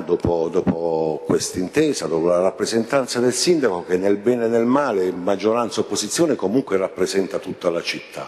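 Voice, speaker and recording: This is an ordinary speaking voice. Its intonation is lively. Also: man. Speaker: city councillor. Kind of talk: council debate speech. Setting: council chamber. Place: hall. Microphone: podium.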